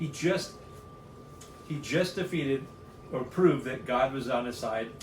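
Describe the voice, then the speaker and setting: A man talks with fairly high pitch and ordinary pitch variation. Audible room echo surrounds his voice. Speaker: Bible study podcast co-host. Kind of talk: casual chat. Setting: studio. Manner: fast; animated.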